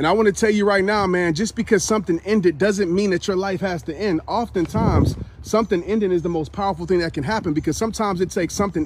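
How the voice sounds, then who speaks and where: Amid noticeable background noise, a man speaks very fast in a high pitch and a passionate tone, with ordinary pitch variation. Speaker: motivational speaker. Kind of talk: motivational speech, live talk to camera. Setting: recorded live stream, talking after a run. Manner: passionate, emphatic, conversational.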